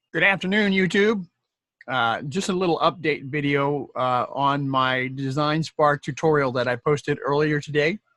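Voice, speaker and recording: A man talks at a moderate pace in a bright, sharp tone. His pitch is fairly high, with ordinary variation. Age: 60s. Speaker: YouTube tutorial creator, programmer. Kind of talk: tutorial. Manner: casual, hesitant with many fillers.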